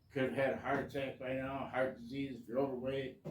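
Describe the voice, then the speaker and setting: Fairly quick male speech at medium pitch with fairly even intonation, audible room echo and noticeable background noise. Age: 60s. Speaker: hobbyist vlogger. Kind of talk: casual monologue. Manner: halting.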